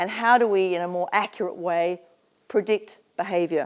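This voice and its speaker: In an Australian accent, a woman speaks with fairly even intonation on a very clean recording with a silent background. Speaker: psychologist and business founder, guest speaker. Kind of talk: motivational talk at an event.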